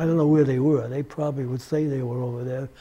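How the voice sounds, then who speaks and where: A man with an American accent talks at a fairly high pitch in a monotone, flat delivery. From Massachusetts, USA. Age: 80s+. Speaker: WWII US Navy veteran. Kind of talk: oral history interview answer. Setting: recorded interview with cameraman. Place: studio. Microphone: lapel.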